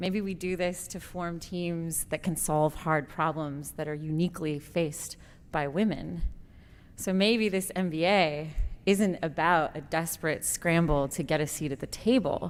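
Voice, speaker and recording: A woman speaks fairly slowly at a fairly low pitch, her voice shaky and her intonation fairly even. The recording is very clean, with a silent background. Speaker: MBA student, award winner. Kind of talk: award acceptance speech. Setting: stage at conference. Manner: shaky voice.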